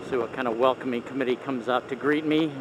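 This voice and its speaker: The sound is dry with no echo, though background noise is noticeable. A man speaks at a moderate pace in a monotone, flat intonation. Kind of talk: casual ride vlog narration. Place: motorbike. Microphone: helmet.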